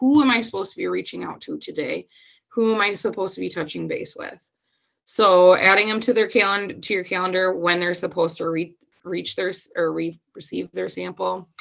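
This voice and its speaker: In a put-on character voice, a woman talks at a fairly quick pace with a raspy, medium-pitched sound. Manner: talking fast.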